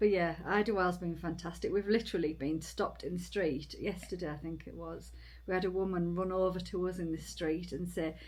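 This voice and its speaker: Amid audible room echo, a woman speaks at a fairly quick pace. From Britain. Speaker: long-distance hiker and vlogger. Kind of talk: casual chat. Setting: indoors in a cabin.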